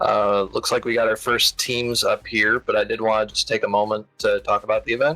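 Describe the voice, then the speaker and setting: Over music in the background, a man talks with very even loudness and hardly any pauses, the sound dry and close with no echo. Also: fairly quick pace. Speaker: esports commentator. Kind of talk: live commentary.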